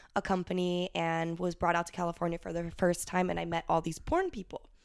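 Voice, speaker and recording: A woman with an American accent has a normal speaking voice at a fairly low pitch. She talks at a fairly quick pace with fairly even intonation. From Ohio, US Midwest. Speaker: adult film performer. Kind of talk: casual chat.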